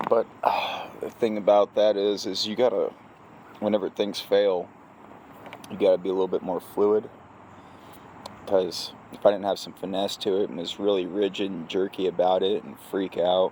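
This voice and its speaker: Amid noticeable background noise, a man with a fairly low voice speaks in a flat monotone at a moderate pace, leaving long, frequent pauses. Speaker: crane operator, vlogger. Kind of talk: casual vlog monologue.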